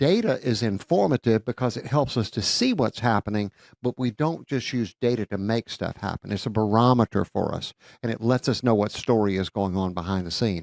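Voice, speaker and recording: A plain, everyday voice talks at a fairly quick pace. The recording is very clean with a silent background and a dry, close sound with no echo. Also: man. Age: 60s. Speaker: church consultant, former accountant. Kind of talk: podcast conversation.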